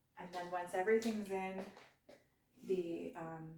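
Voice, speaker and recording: A woman speaks at a fairly slow pace with audible room echo. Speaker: home cooking vlogger. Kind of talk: cooking tutorial. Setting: home kitchen. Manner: soft-spoken; hesitant, many fillers.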